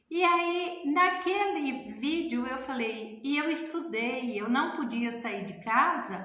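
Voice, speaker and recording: A woman's lively intonation amid audible room echo and noticeable background noise. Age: 60s. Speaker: family constellation therapist and author. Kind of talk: casual talk to camera. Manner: conversational.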